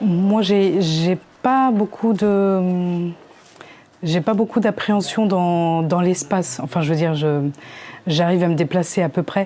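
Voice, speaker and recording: This woman's fairly low pitch shows ordinary variation at very even loudness. She speaks at a fairly slow pace. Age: 30s. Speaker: visually impaired taekwondo student. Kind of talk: documentary interview. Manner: halting.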